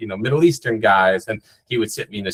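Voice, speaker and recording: A man with an American accent speaks in an animated tone with ordinary pitch variation, and the sound is dry and close with no echo. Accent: faint Long Island accent, mostly escaped. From New York, North Shore of Long Island. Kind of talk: interview. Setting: podcast interview. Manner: many fillers and repeated words.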